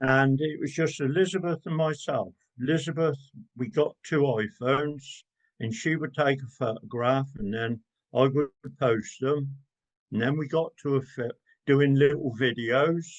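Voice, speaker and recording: A man's fairly high voice shifts in pitch in an ordinary way as he keeps a moderate pace. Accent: English. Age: 70s. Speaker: gardener and social media creator. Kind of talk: interview conversation.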